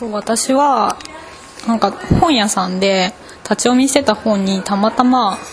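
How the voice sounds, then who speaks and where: Noticeable background noise sits behind a woman with a fairly high pitch. She speaks at a fairly slow pace with ordinary pitch variation. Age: 20s. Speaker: architecture student. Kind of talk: interview.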